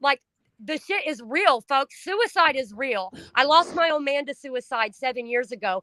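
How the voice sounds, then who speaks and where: A woman's raised, projected voice, high-pitched with a bright, sharp tone, at a moderate pace in a dry, close sound with no echo. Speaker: livestream host, trafficking survivor advocate. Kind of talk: casual chat. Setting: livestream. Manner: loud; emotional, expressive.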